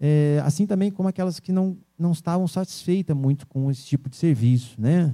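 This man has a dark, mellow tone, ordinary pitch variation and a moderate pace. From Brazil, São Paulo state (Vale do Paraíba). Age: 40s. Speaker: business owner. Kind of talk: interview. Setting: radio studio. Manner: hesitant, many fillers.

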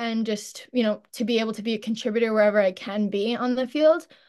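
With an American accent, a woman talks in an ordinary speaking voice at a fairly high pitch and a fairly quick pace. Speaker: college lacrosse player. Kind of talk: interview. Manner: many filler ums.

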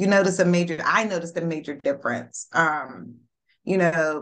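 This woman has a plain, everyday voice, pitched fairly low. Her pitch varies in an ordinary way. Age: 40s. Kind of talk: casual chat.

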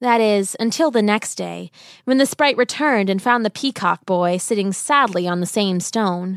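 A woman of medium pitch has a plain, everyday voice, speaking at a moderate pace with ordinary pitch variation. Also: dry, close sound with no echo, very clean recording, silent background. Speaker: storyteller. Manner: storybook cadence, warm, gently rhythmic and expressive.

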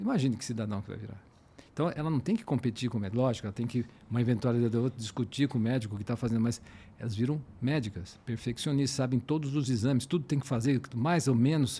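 A somewhat breathy man's voice, medium in pitch and dark, mellow in tone, with ordinary pitch variation and a very fast pace. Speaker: fertility doctor. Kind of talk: casual interview. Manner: halting.

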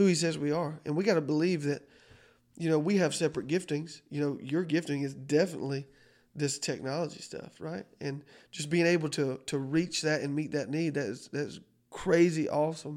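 A man with a Southern US accent, fairly high pitch and fairly even intonation, at a fairly quick pace on a very clean recording with a silent background. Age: 30s. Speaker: pastor. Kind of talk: casual chat.

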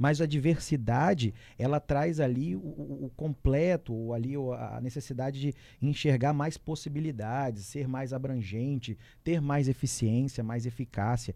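On a very clean recording with a silent background, a man with a dark, mellow tone speaks at a medium pitch with ordinary pitch variation. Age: 30s. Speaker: entrepreneurship commentator. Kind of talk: radio talk show. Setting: studio.

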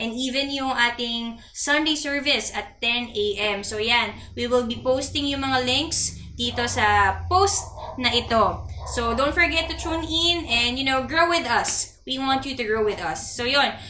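A woman speaks at a fairly slow pace in a high pitch with ordinary pitch variation. Audible room echo surrounds her voice. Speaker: podcast host for a church youth fellowship. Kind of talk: casual chat.

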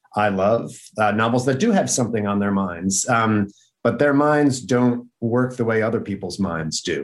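A man talks at a moderate pace in a plain, everyday voice. His pitch sits in the medium range. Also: ordinary pitch variation. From upstate New York. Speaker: novelist and professor. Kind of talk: casual chat. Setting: video call.

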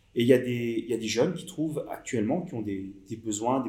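A somewhat breathy man at a medium pitch and a fairly quick pace. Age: 50s. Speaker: digital marketing consultant. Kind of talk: interview. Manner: halting.

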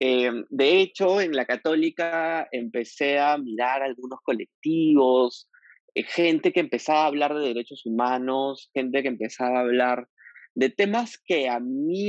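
In an unremarkable speaking voice, a man talks at a fairly slow pace and a fairly high pitch, with ordinary pitch variation. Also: dry, close sound with no echo. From Peru, Piura. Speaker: LGBTQ rights activist. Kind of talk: interview conversation.

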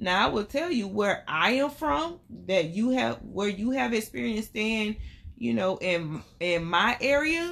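In a Southern US accent, a woman talks at a fairly slow pace and a fairly high pitch. Her pitch swings very widely, while her loudness stays very even. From Albany, Georgia. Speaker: podcast co-host. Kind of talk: casual chat with her husband, podcast banter.

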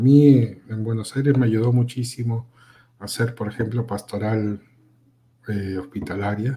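A man with a medium pitch speaks in a dark, mellow, somewhat breathy tone. His intonation is fairly even and his pace fairly slow. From Peru. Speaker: communication graduate and film critic. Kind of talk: casual interview chat. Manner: halting, many repetitions.

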